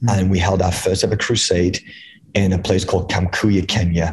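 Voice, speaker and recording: A man's very deep, low voice, somewhat breathy, with monotone, flat intonation at a fairly quick pace. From England. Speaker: evangelist. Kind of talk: interview, testimony.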